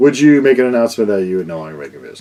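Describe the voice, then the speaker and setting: Mumbling, a man lets his pitch swing very widely. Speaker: vinyl record YouTuber. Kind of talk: casual vlog Q&A. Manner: loud.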